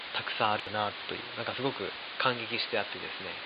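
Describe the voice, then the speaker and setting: A man talks at a fairly quick pace over noticeable background noise, with audible room echo. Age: 30s. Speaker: flour miller. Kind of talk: casual chat.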